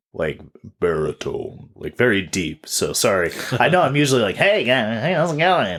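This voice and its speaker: A man speaks at medium pitch with vocal fry. His pitch swings very widely at a moderate pace. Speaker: podcast co-host. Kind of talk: casual chat.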